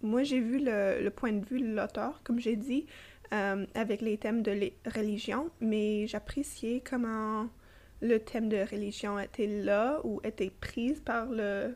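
At a very slow pace, a woman with a slight English accent and a fairly high pitch speaks with very even loudness and fairly even intonation. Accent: slight English-speaker accent in French. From Toronto, Canada. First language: English (speaking French). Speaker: podcast co-host. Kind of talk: casual book discussion. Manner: halting, many fillers.

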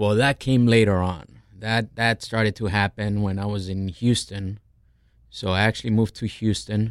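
On a very clean recording with a silent background, a man with an unremarkable speaking voice talks at a moderate pace in a fairly low pitch with fairly even intonation. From Colombia, raised in New Jersey. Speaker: chef, restaurant owner. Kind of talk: casual chat. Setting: studio.

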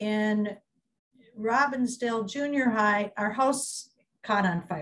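A woman with a Minnesota accent speaks very slowly in a somewhat breathy voice. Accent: Minnesotan American English. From US Midwest. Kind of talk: oral history interview.

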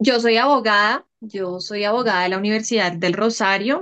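A woman with an unremarkable speaking voice, fairly even intonation and a fairly slow pace. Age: 30s. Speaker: café owner and lawyer. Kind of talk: interview.

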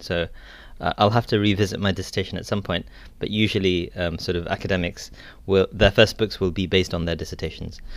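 A man with a British accent talks at a very fast pace in a very deep, low pitch. His intonation is fairly even, and the recording is very clean with a silent background. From England. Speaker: academic, Islamic studies scholar. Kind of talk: interview.

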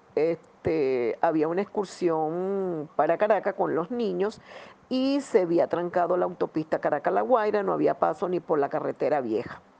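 A woman with a Venezuelan accent, fairly low pitch, dark, mellow tone, lively intonation and a moderate pace. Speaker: parishioner, disaster survivor. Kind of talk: personal testimony.

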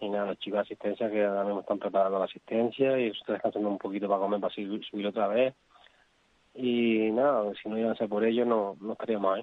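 A man delivers his words at a very fast pace. His fairly low voice stays monotone and flat. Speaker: rally driver. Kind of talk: interview.

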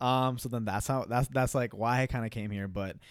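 A man with a normal speaking voice and an American accent, medium pitch, fairly quick pace, very clean recording with a silent background. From North Dakota (Fargo), early years in Queens, New York. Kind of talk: casual interview.

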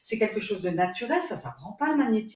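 A woman's somewhat breathy voice, very fast and lively in intonation. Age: 70s. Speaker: reiki master, retired nurse. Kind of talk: interview testimony.

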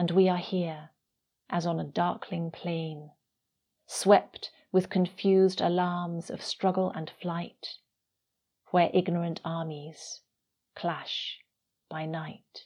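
A woman with a dark, mellow tone and fairly low pitch speaks very slowly in a monotone, flat way, with long, frequent pauses and big swings in loudness over a quiet background. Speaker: poet and radio presenter. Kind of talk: poetry reading, solemn and measured, in a devotional radio show. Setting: speaking from near Rome, radio. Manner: slow, reverent, deliberate, with a hushed and melancholy lilt.

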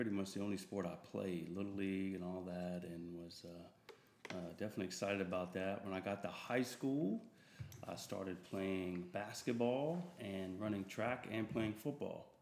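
Here is a man with a normal speaking voice and an American accent. He talks at a moderate pace with a fairly low pitch. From Delaware and California. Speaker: minister. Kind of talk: casual interview chat.

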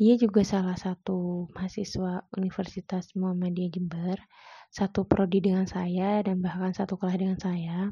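A woman speaks at a medium pitch and a moderate pace, somewhat breathy. Her intonation is monotone and flat. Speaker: university student. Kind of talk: personal story monologue. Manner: hesitant with fillers.

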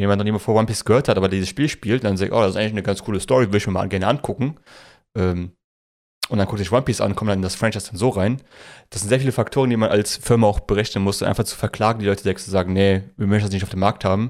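A man's fairly low voice at a very fast pace, fairly even in intonation, in a very clean recording with a silent background. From Germany, Polish parents. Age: 20s. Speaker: podcast co-host. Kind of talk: casual chat.

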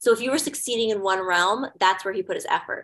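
A woman's normal speaking voice, with lively intonation and a fairly quick pace. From Hawaii and Indonesia, then Missouri. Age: 30s. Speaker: actor, model and director. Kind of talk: casual interview chat.

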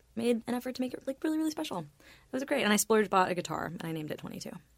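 A woman with an American accent. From Florida. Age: 20s. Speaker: musician. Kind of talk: casual chat. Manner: soft-spoken.

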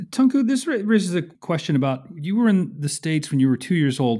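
A somewhat breathy man's voice swings very widely in pitch. The recording is very clean, with a silent background. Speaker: podcast host and research fellow. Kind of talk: interview conversation.

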